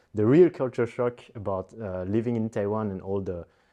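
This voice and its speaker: A man with a French accent speaks at a fairly low pitch in a dark, mellow tone. His pitch varies in an ordinary way against a quiet background. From Belgium. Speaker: animator. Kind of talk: interview. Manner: halting, many fillers and repetitions.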